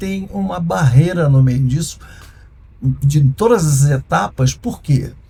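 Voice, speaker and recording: Speaking at a fairly slow pace, a man has a dark, mellow, somewhat breathy tone. His pitch swings very widely. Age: 60s. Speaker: former music and TV producer, entrepreneur. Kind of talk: interview conversation. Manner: halting.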